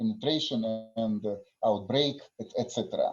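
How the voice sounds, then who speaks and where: Lively intonation marks this man's speech, delivered in a Russian accent. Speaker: conference session chair. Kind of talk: conference moderation. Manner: halting.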